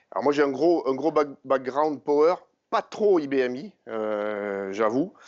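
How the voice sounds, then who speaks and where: A man speaks with a southern French accent. His pitch is medium and his pace fairly slow. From southern France, Montpellier. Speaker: IT engineer presenter. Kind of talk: conference talk. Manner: hesitant, many fillers.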